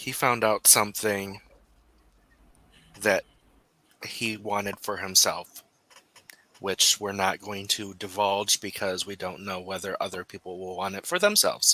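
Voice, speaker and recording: A man's raspy, put-on character voice, fairly low in pitch and flat in a monotone, at a moderate pace, with a dry, close sound and no echo. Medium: actual play. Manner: guarded.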